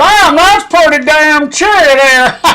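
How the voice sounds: In a put-on character voice with an Appalachian accent, the speaker uses a high pitch and a fairly slow pace. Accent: American hillbilly drawl.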